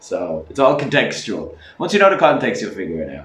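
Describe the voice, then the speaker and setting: A man speaks in an Irish accent over noticeable background noise. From Ireland. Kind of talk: casual talk to camera.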